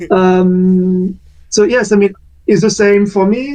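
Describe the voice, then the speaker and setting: Speaking with a French accent, a man has a dark, mellow tone. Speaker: community discussion moderator. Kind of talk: casual discussion on online community talk. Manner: hesitant, many fillers.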